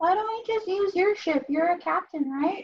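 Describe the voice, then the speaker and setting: This is a put-on character voice, squeaky and extremely high in pitch. It runs at a moderate pace. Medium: actual play. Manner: wide-eyed, simple.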